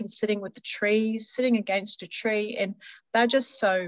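Here is a normal speaking voice from a woman. She talks at a medium pitch with fairly even intonation. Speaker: healer and spiritual teacher. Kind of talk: casual interview chat.

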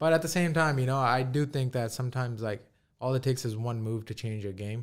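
Over a silent background in a very clean recording, a man with an American accent speaks at a very fast pace. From New York (Queens), with early childhood in India. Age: 20s. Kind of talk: casual interview chat. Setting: studio.

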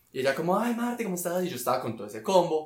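Over noticeable background noise and audible room echo, a man talks at a very fast pace. His pitch is fairly high. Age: 20s. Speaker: architect. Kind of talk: casual chat.

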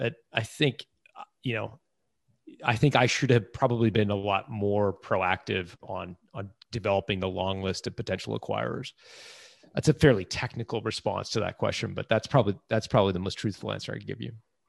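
A man speaks at a fairly low pitch and a fairly quick pace, with vocal fry and ordinary pitch variation. The sound is dry and close with no echo, over a quiet background. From Toronto, Canada (emigrated from England at about five). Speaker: business author and entrepreneur. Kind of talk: interview. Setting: remote call.

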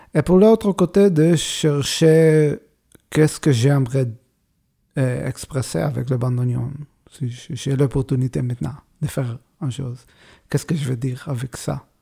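Somewhat breathy and with a dark, mellow tone, a man speaks with long, frequent pauses. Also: medium pitch for a man, ordinary pitch variation. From Israel. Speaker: bandoneon player. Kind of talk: interview. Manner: halting.

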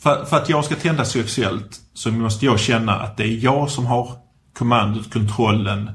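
A man with a somewhat breathy voice speaks with ordinary pitch variation amid audible room echo. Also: medium pitch for a man, moderate pace. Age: 40s. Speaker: podcast host. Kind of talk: casual chat.

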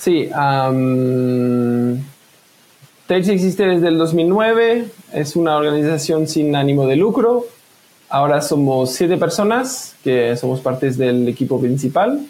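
Very slow in pace, a man with a fairly high pitch keeps his loudness very even while his intonation stays lively. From France. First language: French (speaking Spanish). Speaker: privacy software developer. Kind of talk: casual interview. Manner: hesitant, many fillers.

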